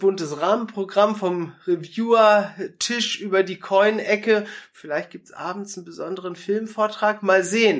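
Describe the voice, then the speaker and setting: The voice moves at a fairly slow pace with fairly even intonation, while its loudness swings widely. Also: man. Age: 30s. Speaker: pastor. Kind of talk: interview.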